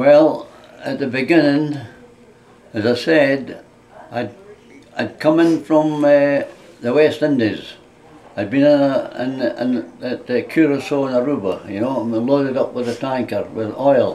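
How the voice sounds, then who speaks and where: A man's fairly high voice at a fairly slow pace, with long, frequent pauses and noticeable background noise. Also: ordinary pitch variation. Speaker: war veteran. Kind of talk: interview. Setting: indoors, residence room. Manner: halting.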